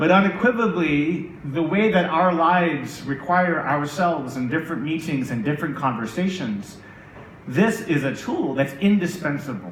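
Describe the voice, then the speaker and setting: A man with an American accent speaks in an animated tone at a moderate pace, with ordinary pitch variation. Noticeable background noise and audible room echo are present. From United States. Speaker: tech executive. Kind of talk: conference keynote.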